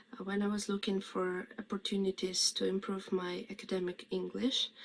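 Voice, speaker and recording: Clear background noise runs through the clip. A woman speaks at a medium tempo. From Ukraine. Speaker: refugee student. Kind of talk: testimony.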